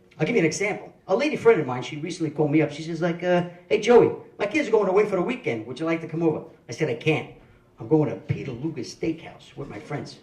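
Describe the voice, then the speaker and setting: Very fast, fairly high-pitched male speech with lively intonation and audible room echo. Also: big swings in loudness. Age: 50s. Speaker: stand-up comedian. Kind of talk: stand-up. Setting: stage with audience.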